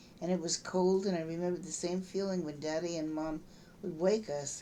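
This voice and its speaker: A woman with an American accent speaks in a fairly low, dark, mellow voice. Her intonation is fairly even, and room echo is audible. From US West Coast, San Francisco. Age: 60s. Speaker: memoir storyteller. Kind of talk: reading aloud. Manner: talkative.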